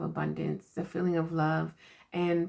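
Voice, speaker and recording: A woman is speaking. Her pace is moderate. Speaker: spiritual card reader and self-care coach. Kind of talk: inspirational message to camera. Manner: casual, laughing.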